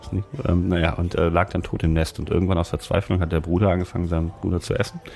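A man's very deep, low-pitched voice. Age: 40s. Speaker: podcast co-host, author. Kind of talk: casual chat.

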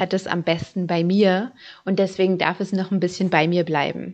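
The delivery is monotone and flat in intonation, moving at a moderate pace. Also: woman. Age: 30s. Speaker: personal finance podcaster. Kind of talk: podcast monologue.

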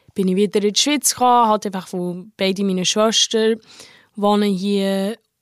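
A woman's fairly even-toned voice on a very clean recording with a silent background. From abroad. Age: 20s. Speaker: hotel employee. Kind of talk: interview. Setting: outdoors. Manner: halting.

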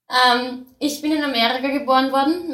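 A woman talks at a moderate pace in a high pitch. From Austria (since age four). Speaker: horse farmer. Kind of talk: casual interview. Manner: lively, bubbly.

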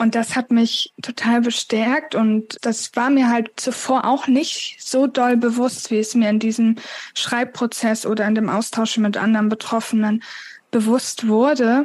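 A woman talks at a fairly slow pace with a fairly high pitch, monotone, flat intonation and very even loudness. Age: 20s. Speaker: author with chronic illness. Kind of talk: interview.

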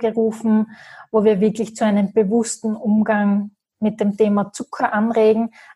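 A woman's fairly high, dark and mellow voice, somewhat breathy, in a flat monotone. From Austria, Graz. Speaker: business coach. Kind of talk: interview.

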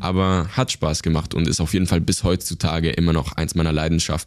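A man's very deep, low voice at a moderate pace, in a monotone, flat intonation. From Switzerland, Basel area. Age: 20s. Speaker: YouTube creator. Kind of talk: interview. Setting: office.

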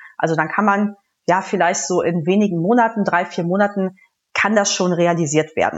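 A woman has a normal speaking voice at medium pitch and a moderate pace. Her intonation is fairly even and her loudness very even. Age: 30s. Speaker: telecom project manager. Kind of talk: interview.

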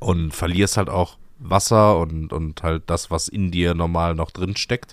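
A man speaks with a very deep, low pitch. The recording is very clean, the background silent. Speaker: podcast co-host. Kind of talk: casual chat.

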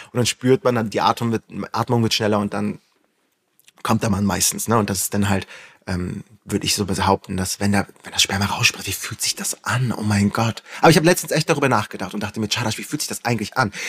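A man at a very fast pace and fairly low pitch, with ordinary pitch variation and a dry, close sound with no echo. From northern Germany, Flensburg. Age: 30s. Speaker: influencer. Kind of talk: casual chat.

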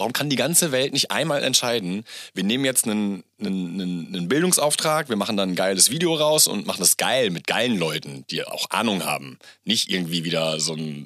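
Over a very clean recording with a silent background, a man with a bright, sharp tone and vocal fry speaks at a moderate pace, his pitch swinging very widely. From Germany, Gütersloh near Bielefeld. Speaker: entrepreneur, podcast guest. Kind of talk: casual interview chat. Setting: home studio. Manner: animated, loud; hesitant, repeating words.

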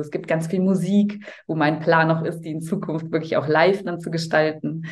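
A woman speaks in a very deep, low voice. Her intonation stays fairly even at a moderate pace. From Cologne, Germany. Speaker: voice-over speaker and holistic health coach. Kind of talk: casual interview chat.

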